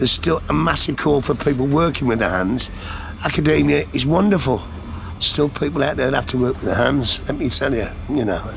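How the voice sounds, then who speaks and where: Amid noticeable background noise, a man of medium pitch talks fairly quickly with very wide pitch swings. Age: 60s. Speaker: upholsterer. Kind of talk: interview testimony. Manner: casual, conversational.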